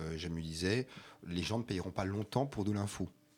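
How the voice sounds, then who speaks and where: Recorded very cleanly against a silent background, a man speaks in an ordinary speaking voice, fairly low in pitch with ordinary pitch variation, at a fairly quick pace. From Alsace, France. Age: 40s. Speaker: regional culture magazine publisher. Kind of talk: radio interview.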